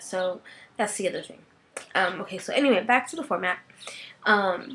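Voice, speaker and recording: Using an unremarkable speaking voice at medium pitch, a woman talks at a moderate pace with lively intonation and big swings in loudness. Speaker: podcast host. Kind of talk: casual podcast monologue.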